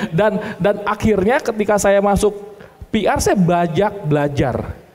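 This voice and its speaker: A man speaks over noticeable background noise. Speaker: insurance agency business founder. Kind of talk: seminar talk.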